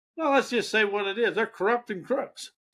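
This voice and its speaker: A man's raised, projected voice, bright and sharp in tone, with lively intonation on a very clean recording with a silent background. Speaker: self-help / hypnosis coach and channel host. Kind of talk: motivational talk to camera. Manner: casual, conversational, rambling.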